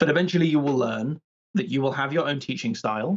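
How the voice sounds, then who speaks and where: A man is talking. His accent is British. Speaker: PhD candidate in biological anthropology. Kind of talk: casual interview chat. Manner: fast; projecting, energetic.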